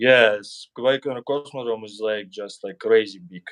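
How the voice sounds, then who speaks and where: A man speaks with a strong Russian accent in a dry, close sound with no echo. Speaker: YouTuber. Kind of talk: casual chat.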